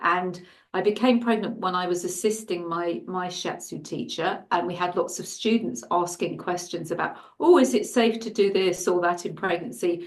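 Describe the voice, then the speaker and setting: A woman with an English accent, with audible room echo. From England. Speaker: shiatsu and Chinese medicine practitioner. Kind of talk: interview. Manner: halting.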